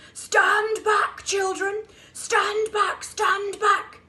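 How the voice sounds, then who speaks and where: In a put-on character voice, a woman shouts and growls at an extremely high pitch, very slowly and in a flat monotone. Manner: shouting a command.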